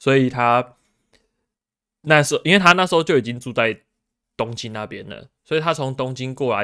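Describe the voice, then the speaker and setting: A bright, sharp tone carries ordinary pitch variation. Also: man, very clean recording, silent background. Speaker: researcher in Japan. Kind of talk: casual chat.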